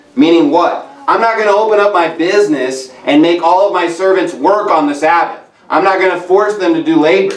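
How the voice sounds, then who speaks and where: A man with ordinary pitch variation, audible room echo around him. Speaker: preacher. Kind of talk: sermon. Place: church.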